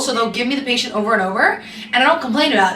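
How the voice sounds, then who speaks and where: In an echoing room with noticeable background noise, a woman speaks very fast at a high pitch. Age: 20s. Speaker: travel nurse vlogger. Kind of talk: casual vlog chat. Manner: monotone; chatty, fast.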